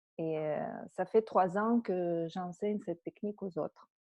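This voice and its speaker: Very slow speech from a woman, with ordinary pitch variation. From Russia. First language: Russian (speaking French). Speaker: energy healing teacher. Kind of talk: webinar talk. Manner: halting, many fillers.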